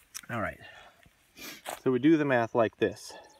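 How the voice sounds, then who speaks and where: Ordinary pitch variation in a dry, close sound with no echo, over noticeable background noise. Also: man. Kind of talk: casual demonstration to camera. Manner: hesitant, many fillers.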